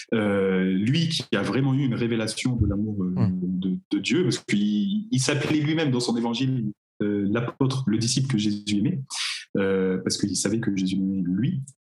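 In a plain, everyday voice, a man speaks at a moderate pace with a fairly low pitch, ordinary pitch variation and very even loudness. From Normandy, France (Cherbourg, Cotentin). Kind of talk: casual chat.

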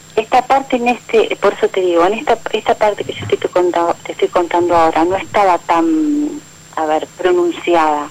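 Over noticeable background noise, a woman talks at a fairly quick pace with lively intonation and a medium pitch. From Argentina, Buenos Aires area. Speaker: radio caller. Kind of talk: phone call-in conversation.

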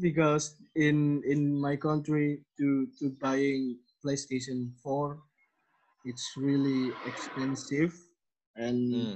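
With an Indonesian accent, a man speaks very slowly in a fairly high voice, his intonation flat and monotone. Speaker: podcast host. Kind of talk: casual interview. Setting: video call. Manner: halting, many fillers.

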